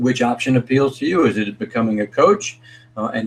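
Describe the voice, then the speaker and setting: This man's pitch sits in the medium range. He talks at a fairly quick pace. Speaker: fitness coach. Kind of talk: live online presentation. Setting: live video broadcast. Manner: fast.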